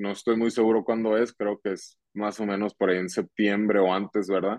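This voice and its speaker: This is a man speaking at a fairly low pitch. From Mexico, Hermosillo, Sonora. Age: 20s. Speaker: professional baseball player. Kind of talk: casual interview. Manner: halting, repetitive fillers.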